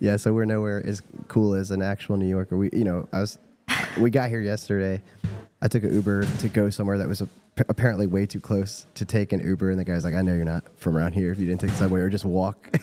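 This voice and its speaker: Very fast speech in a monotone, flat intonation, with music in the background. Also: man, fairly low pitch for a man. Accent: American. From Virginia, US South. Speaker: livestream interviewer. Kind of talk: casual interview.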